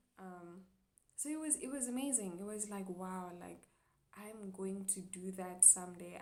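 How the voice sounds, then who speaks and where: A woman's dark, mellow tone with audible room echo. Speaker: chiropractic student vlogger. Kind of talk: personal vlog monologue. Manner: hesitant, many fillers.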